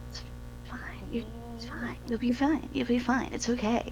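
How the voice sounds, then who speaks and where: A woman talks at a very fast pace with music in the background. There is audible room echo. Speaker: dungeon master. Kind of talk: casual chat.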